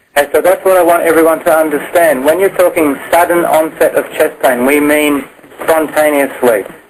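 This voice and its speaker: Against noticeable background noise, a man with a fairly high pitch talks at a fairly quick pace with fairly even intonation and very even loudness. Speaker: clinical educator for nurses. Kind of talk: medical teaching on a conference call. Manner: fast.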